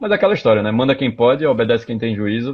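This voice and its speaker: A man speaks with a Recife accent. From Pernambuco, Brazil (Recife). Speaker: tech startup founder. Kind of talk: live interview. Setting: Instagram live stream.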